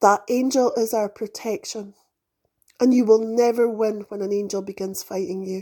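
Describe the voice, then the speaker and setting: Her voice is fairly high yet dark and mellow in tone, and this woman keeps her intonation fairly even. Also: moderate pace. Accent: British. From UK. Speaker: spiritual podcast host. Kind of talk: spiritual monologue.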